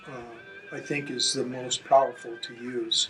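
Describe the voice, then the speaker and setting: Ordinary pitch variation marks a man's speech, with noticeable noise in the background. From Alaska. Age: 70s. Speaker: motorcycle rider and challenge applicant. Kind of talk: interview monologue. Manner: halting, many fillers.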